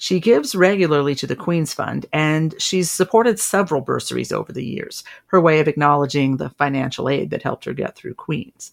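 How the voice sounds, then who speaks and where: Very deep, low female voice with vocal fry at a fairly quick pace. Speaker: podcast host. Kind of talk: scripted podcast narration.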